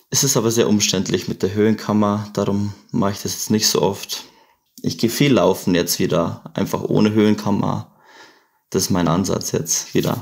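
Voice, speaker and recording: This man has an unremarkable speaking voice, fairly low in pitch, with fairly even intonation at a moderate pace. The recording is very clean and the background silent. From Bavaria, Chiemgau. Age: 20s. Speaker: paraglider pilot. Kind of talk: casual chat.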